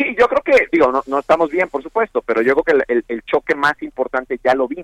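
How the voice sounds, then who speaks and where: This man has an unremarkable speaking voice, fairly high in pitch, with lively intonation. He talks at a fairly quick pace with hardly any pauses, and the sound is dry and close with no echo. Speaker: economic analyst. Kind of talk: interview.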